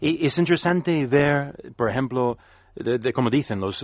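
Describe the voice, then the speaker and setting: Over a quiet background, a man speaks fairly slowly. His intonation is lively. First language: English (speaking Spanish). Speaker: business consultant and analyst. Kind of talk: panel discussion. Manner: halting.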